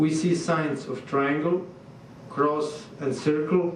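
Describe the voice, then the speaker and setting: In a Serbian accent, a man speaks fairly slowly at a fairly high pitch, with audible room echo and noticeable background noise. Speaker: visiting artist. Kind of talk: lecture. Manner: halting.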